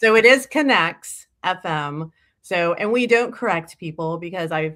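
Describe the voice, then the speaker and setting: A woman with a Texas accent, fairly low pitch, a bright, sharp tone and lively intonation, at a fairly slow pace, on a very clean recording with a silent background. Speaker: industry association representative. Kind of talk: casual interview chat.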